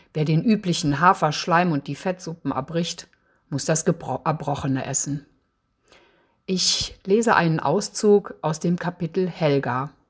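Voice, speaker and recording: Recorded very cleanly with a silent background, a woman with a fairly low pitch and somewhat breathy voice speaks at a fairly slow pace with ordinary pitch variation. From Eifel, western Germany. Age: 60s. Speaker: novelist. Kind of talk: author presentation with reading aloud.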